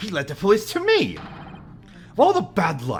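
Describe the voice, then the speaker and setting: A put-on character voice, hoarse and strained, at a moderate pace over clear background noise. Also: man. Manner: dramatic, strained.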